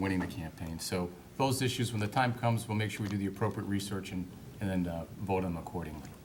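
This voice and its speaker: In an American accent, a man talks at a very fast pace with fairly even intonation and fairly low pitch. There is audible echo from the room. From Massachusetts. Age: 50s. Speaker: political candidate. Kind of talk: political debate. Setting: town hall debate.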